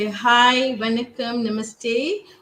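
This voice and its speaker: There is noticeable background noise in this clip. The speaker is a woman with a fairly high pitch. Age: 60s. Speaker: pageant finalist. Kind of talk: self-introduction on a live video session.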